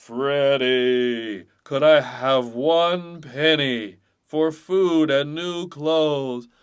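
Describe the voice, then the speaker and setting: Using a put-on character voice, a man speaks at a fairly high pitch and a very slow pace with hardly any pauses. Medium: read story. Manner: humble, polite.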